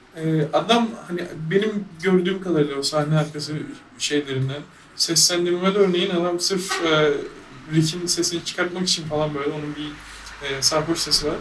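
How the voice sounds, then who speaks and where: A man speaks at a moderate pace in a fairly high pitch with fairly even intonation. Noticeable background noise runs underneath. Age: 20s. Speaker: programmer. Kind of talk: casual chat.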